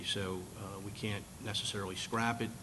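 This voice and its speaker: A man speaks with a fairly low pitch. Audible room echo surrounds his voice. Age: 60s. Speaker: congressional candidate. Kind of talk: candidates forum answer. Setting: meeting hall with audience.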